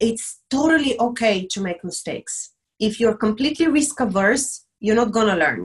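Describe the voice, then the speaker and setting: A woman with a Bulgarian accent sounds somewhat breathy, her intonation lively. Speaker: diversity and inclusion specialist. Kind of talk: interview on live stream. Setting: video call.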